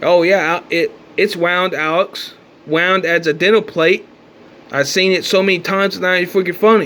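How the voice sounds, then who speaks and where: There is noticeable background noise as a man speaks at a moderate pace with a high pitch. His intonation is fairly even and his loudness very even. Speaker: conspiracy vlogger. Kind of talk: casual monologue.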